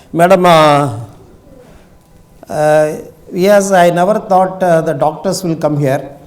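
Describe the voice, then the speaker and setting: A man speaks with a fairly high pitch for a man, and audible room echo surrounds his voice. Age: 70s. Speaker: retired scientist and industrialist, speaker. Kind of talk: public talk. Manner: halting, many fillers.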